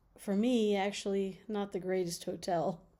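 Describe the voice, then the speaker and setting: With a very clean recording and silent background, a woman speaks in a medium pitch with fairly even intonation and a relaxed, dark, mellow tone. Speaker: vlogger. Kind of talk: casual vlog monologue. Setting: hotel room. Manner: relaxed, with fillers.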